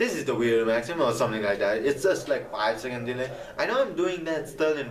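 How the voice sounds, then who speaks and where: A man speaks with a non-native accent and ordinary pitch variation. Noticeable background noise and audible room echo are present. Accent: non-native accent, improved. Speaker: gaming video creator. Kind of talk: casual vlog advice talk. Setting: camera vlog.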